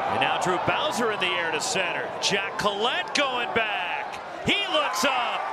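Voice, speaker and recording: A man's high-pitched voice with lively intonation, over noticeable background noise. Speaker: baseball commentator. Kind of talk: live commentary. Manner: excitable.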